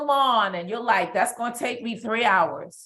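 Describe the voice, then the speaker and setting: A woman with a New York accent speaks at a fairly slow pace in a fairly high pitch. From New York, Brooklyn. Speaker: business coach guest. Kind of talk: live stream interview.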